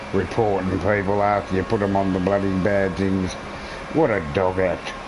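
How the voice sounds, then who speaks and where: A man's fairly low voice with a strong Australian accent, fairly even intonation, very even loudness and a moderate pace, with audible room echo and music in the background. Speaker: gaming streamer. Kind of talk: casual live-stream commentary.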